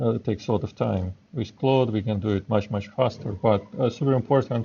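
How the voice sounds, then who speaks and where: A man with a non-native accent and fairly even intonation. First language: not English. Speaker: software developer. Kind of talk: live coding tutorial. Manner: halting, many fillers.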